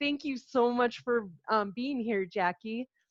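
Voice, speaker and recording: Against a quiet background, a woman with an American accent talks at a moderate pace. Her voice is fairly high, with ordinary pitch variation. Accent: sounds like Minnesota to others. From Albuquerque, New Mexico. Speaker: interview host. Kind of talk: interview. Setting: video call.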